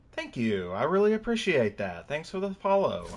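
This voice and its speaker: A man talks in a strong Kentucky accent. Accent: thick Kentucky. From Kentucky, US. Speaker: video game streamer. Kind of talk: casual live-stream chat.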